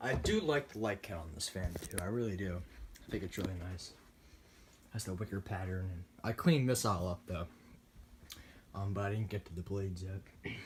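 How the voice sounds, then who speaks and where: A man speaks in a very deep, low voice that is somewhat breathy. Long, frequent pauses break up his speech. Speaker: ceiling fan collector. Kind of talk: casual ceiling fan demo to camera. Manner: sluggish.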